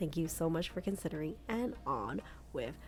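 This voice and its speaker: A woman's dark, mellow tone with vocal fry. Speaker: shopping vlogger. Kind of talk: shopping vlog narration. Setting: in a store. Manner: casual, filler-heavy.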